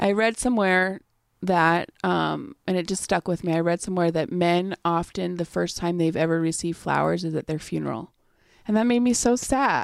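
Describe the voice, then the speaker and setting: A woman with a normal speaking voice talks at a moderate pace, her pitch fairly low with ordinary variation, on a very clean recording with a silent background. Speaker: podcast host. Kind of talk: casual chat.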